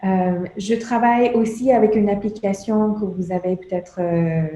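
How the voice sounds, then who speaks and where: A woman's dark, mellow, somewhat breathy tone, with fairly even intonation and a fairly slow pace. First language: English (speaking French). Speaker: meditation instructor and consultant. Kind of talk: lecture. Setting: conference with audience. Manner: halting, many hesitations.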